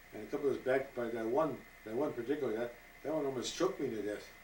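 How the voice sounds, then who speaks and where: A man talks at a very fast pace with ordinary pitch variation, and audible room echo surrounds his voice. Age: 80s+. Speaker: retired scout leader. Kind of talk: interview. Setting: at his home. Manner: halting.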